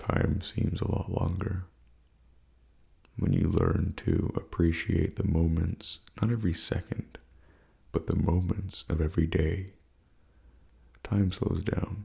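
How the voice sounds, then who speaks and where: In a very deep, low, somewhat breathy voice with a relaxed tone, a man speaks at a very slow pace with long, frequent pauses, very even loudness and fairly even intonation. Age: 20s. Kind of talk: ASMR life advice talk. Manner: soft-spoken, relaxed.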